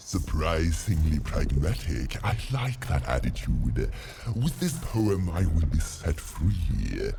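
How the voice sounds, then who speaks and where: A man puts on a character voice, pitched very deep and low, and speaks at a fairly slow pace with clear background noise. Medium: video game. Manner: theatrical, rhyming, pompous.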